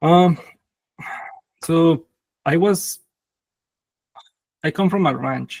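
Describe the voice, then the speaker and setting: The speaker talks with a Mexican accent at a very slow pace, leaving long, frequent pauses. Pitch varies in an ordinary way. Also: man, high pitch for a man. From Mexico, Zacatecas. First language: Spanish. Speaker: tech founder. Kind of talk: interview. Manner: halting, many fillers.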